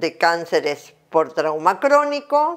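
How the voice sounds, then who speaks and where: A woman talks very slowly, her pitch swinging very widely, with a quiet background behind her. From Argentina. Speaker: dentistry professor; dental lecturer. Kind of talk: lecture. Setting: at home. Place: home room.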